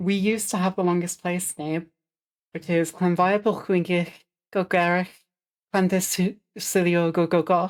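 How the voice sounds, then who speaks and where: The recording is very clean, with a silent background. A woman speaks at a fairly low pitch in a monotone, flat intonation. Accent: Welsh. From Wales. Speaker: streamer. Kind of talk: casual chat. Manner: relaxed.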